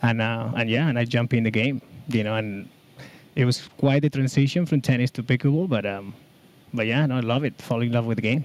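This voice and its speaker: A man speaks with a Spanish accent at a medium pitch and a fairly quick pace, his intonation fairly even. The recording is very clean, with a silent background. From Basque Country, Spain. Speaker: pickleball player and tennis coach. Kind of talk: podcast interview. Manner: halting, many fillers.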